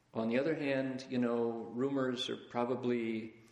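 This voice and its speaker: Over noticeable background noise, a man at a medium pitch talks in a flat monotone. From US Midwest, Toledo, Ohio. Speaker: Buddhist teacher. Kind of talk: lecture. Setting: lecture hall with live audience. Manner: conversational.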